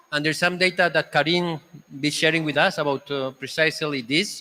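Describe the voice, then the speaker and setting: With a Spanish accent, a man speaks at a fairly quick pace in a fairly high pitch, his tone bright and sharp and his intonation fairly even. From Spain. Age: 50s. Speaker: panel moderator. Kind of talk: panel discussion moderation. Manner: halting.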